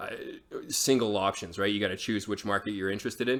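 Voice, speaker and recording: A man's bright, sharp voice, fairly low in pitch, with fairly even intonation. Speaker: real estate market analyst. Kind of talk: interview discussion. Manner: fast; halting, many repeated words.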